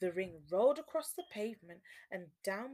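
Here is an unforced reading voice. Its intonation is lively.

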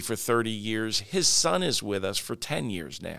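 In a very clean recording with a silent background, a man with an American accent and a medium pitch speaks at a moderate pace in an unremarkable speaking voice. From Long Island, New York. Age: 60s. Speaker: franchise company CEO. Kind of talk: interview.

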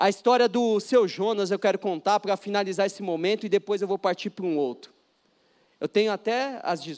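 A man speaks in a high pitch with an animated tone and ordinary pitch variation. The recording is very clean with a silent background, the sound dry and close with no echo. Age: 30s. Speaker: pastor. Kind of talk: sermon. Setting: church.

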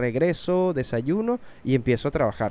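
A dark, mellow tone at a moderate pace with ordinary pitch variation. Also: man. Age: 30s. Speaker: podcast host and voice actor. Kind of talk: casual chat. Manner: everyday conversational tone.

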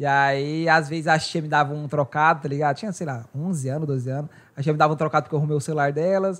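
Over a quiet background, a man with a fairly high pitch talks at a very fast pace with hardly any pauses and fairly even intonation. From Brazil, Goiás. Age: 20s. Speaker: podcast host. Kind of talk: casual chat.

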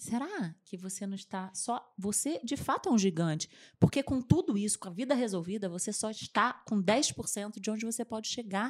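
A woman's fairly high, somewhat breathy voice with lively intonation, moderate pace and hardly any pauses. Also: big swings in loudness. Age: 40s. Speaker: communication and public speaking coach. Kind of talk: interview.

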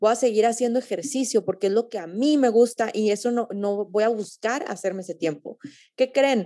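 Fairly high in pitch, a woman speaks with a dark, mellow tone and ordinary pitch variation at a moderate pace. The recording is very clean, with a silent background. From Mexico, Torreón. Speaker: podcast host. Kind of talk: casual interview.

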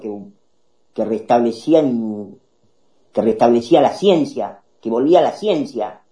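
This man talks at a fairly slow pace, his tone dark and mellow and his pitch medium. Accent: Rioplatense. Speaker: political talk show host. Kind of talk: political commentary. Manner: animated.

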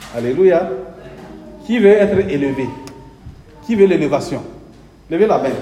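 Amid noticeable background noise and audible room echo, a man with a high pitch for a man talks at a moderate pace, his pitch swinging very widely, with long, frequent pauses. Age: 60s. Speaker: pastor. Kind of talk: sermon. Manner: animated.

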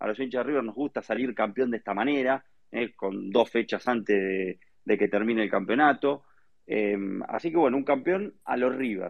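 This man speaks at a moderate pace. His pitch sits in the medium range. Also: ordinary pitch variation. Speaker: football news panelist. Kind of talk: casual chat.

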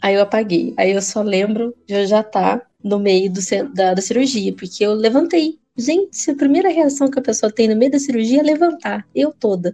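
A woman speaks at a medium pitch in a dark, mellow tone. Her intonation is lively and her pace moderate. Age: 20s. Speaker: podcast co-host. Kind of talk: casual chat.

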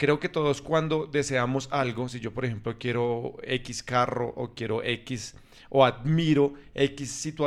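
The man has a normal speaking voice at a medium pitch. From Colombia. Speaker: podcast host. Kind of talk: casual chat.

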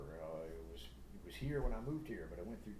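A man with an American accent talks at a very fast pace, his pitch swinging very widely. Noticeable background noise and audible room echo fill the recording. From US South, Atlanta, Georgia. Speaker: musician. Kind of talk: casual chat.

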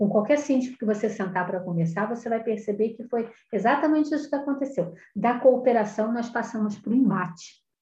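A woman's unremarkable speaking voice at a fairly quick pace, with ordinary pitch variation. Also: fairly high pitch for a woman. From Rio de Janeiro, Brazil. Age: 50s. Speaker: professional condominium manager. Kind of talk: interview.

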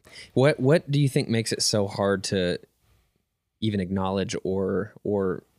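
A man with a normal speaking voice talks at a moderate pace in a fairly low pitch. The sound is dry and close with no echo, on a very clean recording with a silent background. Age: 20s. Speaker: ministry podcast host. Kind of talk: casual chat.

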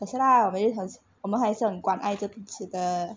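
The woman's voice is somewhat breathy. Her pitch is medium. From Malaysia. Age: 20s. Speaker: podcast co-host, university student. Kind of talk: casual chat.

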